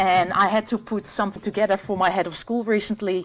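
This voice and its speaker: A woman at a medium pitch, talking at a very fast pace. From Netherlands. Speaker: professor. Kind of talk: lecture. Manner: hesitant, many fillers and restarts.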